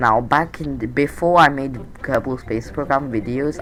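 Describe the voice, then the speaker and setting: Speech at a moderate pace with music in the background. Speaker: gaming youtuber. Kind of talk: gameplay commentary. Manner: casual, halting with fillers.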